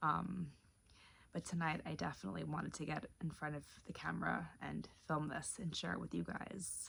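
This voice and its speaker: Whispering, the soft-spoken voice keeps a moderate pace. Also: woman. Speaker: lifestyle vlogger. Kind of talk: casual vlog to camera. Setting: at home late at night. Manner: soft-spoken, near whisper; rambling with hesitations.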